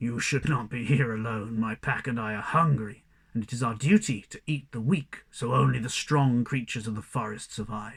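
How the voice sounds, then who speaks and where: A man's growling, put-on character voice at medium pitch, moderate pace and with hardly any pauses. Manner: menacing.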